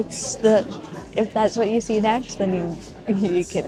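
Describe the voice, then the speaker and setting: A woman speaks at a moderate pace with lively intonation, and there is noticeable background noise. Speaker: small business owner and vlogger. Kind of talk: casual vlog talk to camera. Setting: indoor market venue. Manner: chatty, many fillers; loud at times, voice goes up.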